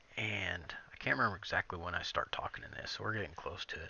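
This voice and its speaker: Soft-spoken, the man talks at a moderate pace. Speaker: gaming video creator. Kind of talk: gameplay commentary. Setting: at home.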